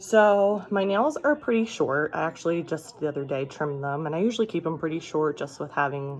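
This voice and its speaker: A woman speaks quietly with a very deep, low pitch and ordinary pitch variation. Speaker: beauty vlogger. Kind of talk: product tutorial. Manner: quiet, talking low.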